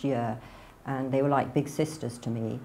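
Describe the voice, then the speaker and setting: This voice has a dark, mellow tone and a northern English accent. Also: woman. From northern England, near Manchester. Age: 60s. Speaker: convert telling her story. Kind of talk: testimony.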